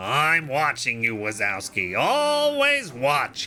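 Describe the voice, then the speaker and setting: Over clear background noise, a man puts on a character voice at a fairly high pitch and a fairly slow pace. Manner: slow, gravelly, menacing drawl.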